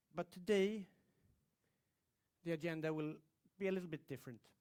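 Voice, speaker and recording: A high-voiced man speaks at a moderate pace with fairly even intonation. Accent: Swedish. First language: Swedish. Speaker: aerospace engineer. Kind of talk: presentation to audience.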